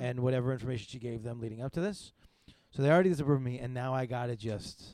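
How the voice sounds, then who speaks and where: Speaking very fast and quietly, a man uses a medium pitch and a dark, mellow tone. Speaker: podcast host; comedian. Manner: fast talker, speaks quietly.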